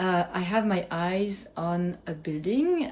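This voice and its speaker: A woman speaks with a French accent and lively intonation. Her voice is somewhat breathy. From France. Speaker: cheesemaker, small business owner. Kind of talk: vlog update.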